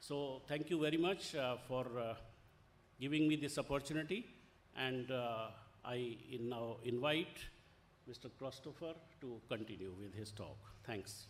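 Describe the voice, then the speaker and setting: The man speaks at a fairly slow pace. He leaves long, frequent pauses. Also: medium pitch for a man, ordinary pitch variation. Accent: Indian. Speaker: conference chair, academic librarian. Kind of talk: welcome speech. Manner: halting, many fillers.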